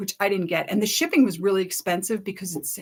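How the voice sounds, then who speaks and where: A woman's normal speaking voice at medium pitch, with ordinary pitch variation. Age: 60s. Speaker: sewing YouTuber. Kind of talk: product review, casual chat. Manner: chatty, casual with fillers.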